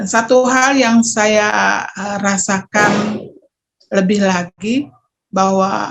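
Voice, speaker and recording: Somewhat breathy delivery with fairly even intonation. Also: woman. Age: 50s. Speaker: testimonial giver. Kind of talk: testimony. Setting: video call. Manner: hesitant, with fillers.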